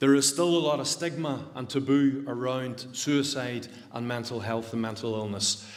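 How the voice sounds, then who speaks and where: Speaking at a moderate pace in a medium pitch, a man with a Northern Irish accent is heard with audible room echo. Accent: Derry, Northern Irish. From Northern Ireland, County Derry. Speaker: suicide prevention speaker. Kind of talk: public talk. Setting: church hall stage with audience, livestreamed.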